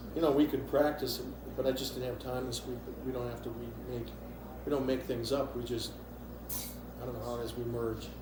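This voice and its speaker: A man with an American accent talks at a fairly quick pace, leaving long, frequent pauses. Audible room echo and noticeable background noise surround him. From Wisconsin, US Midwest. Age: 60s. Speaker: musician. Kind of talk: interview. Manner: halting.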